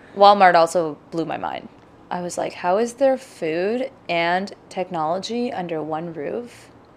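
A woman with an unremarkable speaking voice talks at a fairly slow pace, her pitch fairly low and her pitch variation ordinary. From Pakistan, moved to Mississauga, Canada at about nine. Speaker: visual artist. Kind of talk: interview.

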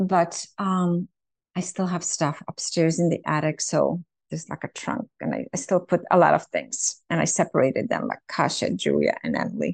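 The recording has a dry, close sound with no echo and a quiet background. A woman talks at a moderate pace. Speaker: mother interviewee. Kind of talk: casual reflective interview. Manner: warm, hesitant, halting.

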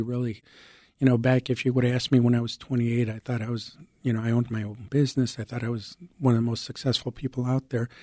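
Recorded very cleanly against a silent background, a man with a Chicago accent speaks at a medium pitch and a moderate pace. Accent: Chicago American. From Chicago, moved from Mexico at six. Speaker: civilian hero award recipient. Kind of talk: interview.

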